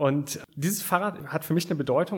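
Somewhat breathy and fairly quick, a man speaks at a fairly high pitch with ordinary pitch variation. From Aachen, western Germany. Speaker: startup founder. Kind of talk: interview. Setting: studio.

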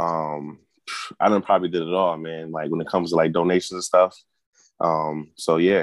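A man with an American accent, very deep and low in pitch, monotone and flat, at a moderate pace against a quiet background. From Connecticut (Hartford). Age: 30s. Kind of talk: casual chat.

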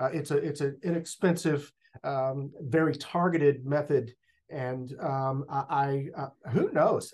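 A man's voice comes through fairly high in pitch. It is somewhat breathy. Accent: Texan. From Northeast Texas. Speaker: school district communications director. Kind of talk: interview. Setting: office.

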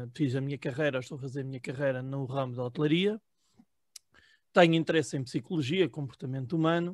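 A man's fairly high, fairly quick voice with ordinary pitch variation, big swings in loudness and long, frequent pauses, on a very clean recording with a silent background. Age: 30s. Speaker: political commentary panelist, hospitality worker. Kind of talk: casual self-introduction. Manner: halting, with many fillers.

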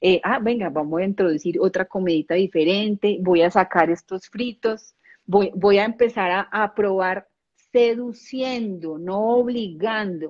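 At a fairly slow pace, a woman talks at a medium pitch in a plain, everyday voice with ordinary pitch variation. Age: 40s. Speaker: ontological coach. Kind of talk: casual chat.

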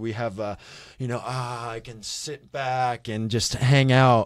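On a very clean recording with a silent background, a man with a Midwestern American accent speaks at medium pitch and a moderate pace. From Kansas City, Missouri. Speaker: ministry leader. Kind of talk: casual chat.

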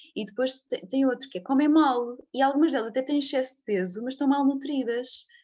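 A high-pitched woman's voice at a fairly quick pace, with ordinary pitch variation and hardly any pauses. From Portugal, Leiria area. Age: 30s. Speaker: physiotherapist. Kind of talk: interview conversation. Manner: halting, many repetitions and fillers.

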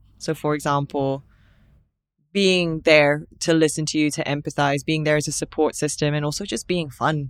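A woman with a very deep, low pitch speaks at a moderate pace in a flat monotone, recorded very cleanly against a silent background. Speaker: podcast co-host. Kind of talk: casual chat.

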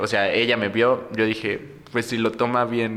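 Here a man speaks at a fairly slow pace in a medium pitch with a Mexican accent. His tone is bright and sharp. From Mexico, Morelos. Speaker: drag performer. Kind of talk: casual chat.

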